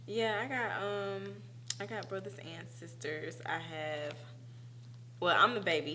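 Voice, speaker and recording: With a Southern US accent, the voice moves at a fairly slow pace with long, frequent pauses, very wide pitch swings and big swings in loudness. Room echo is audible and background noise is noticeable. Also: woman, very deep, low pitch for a woman. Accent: Southern country. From US South, Macon, Georgia. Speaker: actress and dancer. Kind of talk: casual interview chat. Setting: studio.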